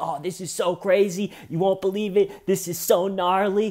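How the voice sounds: Putting on a character voice, a man speaks in a high pitch. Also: moderate pace.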